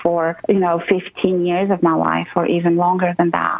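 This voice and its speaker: Fairly slow female speech with noticeable background noise. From abroad, moved to the US at 22. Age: 40s. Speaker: real estate investor and mentor. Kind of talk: interview.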